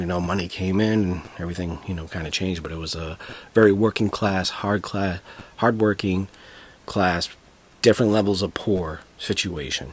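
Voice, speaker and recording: This man talks at a fairly quick pace with a Boston accent, his very deep, low pitch held in fairly even intonation. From Boston, Massachusetts (Dorchester). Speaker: podcaster. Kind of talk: podcast monologue. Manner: halting, many fillers.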